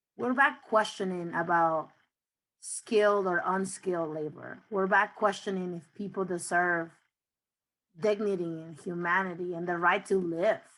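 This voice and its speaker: In a very clean recording with a silent background, a woman speaks at a fairly slow pace with medium pitch and fairly even intonation. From Mexico (Nayarit), raised in Oklahoma City. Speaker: immigrant rights campaign manager. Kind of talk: panel discussion. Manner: deliberately slow for interpretation.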